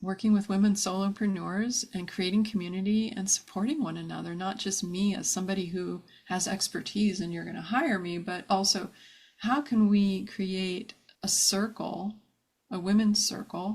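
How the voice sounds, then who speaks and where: A woman's medium-pitched, somewhat breathy voice at a moderate pace. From US, New Jersey (New Brunswick). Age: 50s. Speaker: brand and web designer. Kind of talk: interview, personal life story. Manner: animated.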